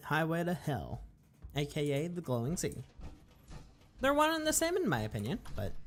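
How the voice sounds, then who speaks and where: Music plays in the background. The speech moves at a moderate pace with long, frequent pauses. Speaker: gaming streamer. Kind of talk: live gameplay commentary.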